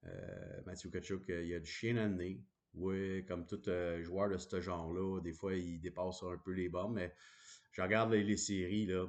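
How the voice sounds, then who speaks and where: With a Quebec accent, a man speaks at a fairly slow pace in a very deep, low pitch and monotone, flat intonation against a quiet background. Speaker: hockey commentator. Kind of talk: casual monologue. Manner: hesitant, many fillers.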